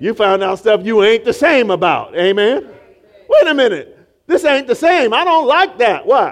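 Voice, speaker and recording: With an animated tone and very wide pitch swings, a man speaks at a moderate pace in an extremely high pitch. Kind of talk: sermon. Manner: animated, call-and-response preaching, with rhetorical 'Amen?' prompts and laughter; emphatic, repeating phrases for effect.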